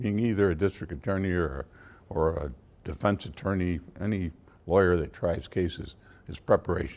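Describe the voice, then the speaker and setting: A man with an American accent, very deep and low in pitch, with lively intonation at a moderate pace on a very clean recording with a silent background. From Syracuse, upstate New York. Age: 70s. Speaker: retired lawyer and judge. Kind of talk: interview, reflective conversation. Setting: podcast interview. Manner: measured, hesitant with fillers.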